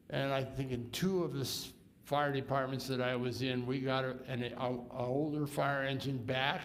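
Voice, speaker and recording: With noticeable background noise and audible room echo, a man talks at a moderate pace in a monotone, flat intonation, his medium pitch and very even loudness holding throughout. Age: 80s+. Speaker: retired volunteer firefighter donating a fire engine. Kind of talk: public remarks at council meeting.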